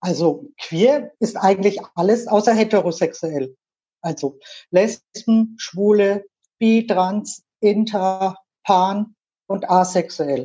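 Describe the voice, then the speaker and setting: At a very slow pace, a woman speaks in a medium pitch with a dark, mellow tone and ordinary pitch variation. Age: 50s. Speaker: LGBTQ association board member. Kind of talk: interview.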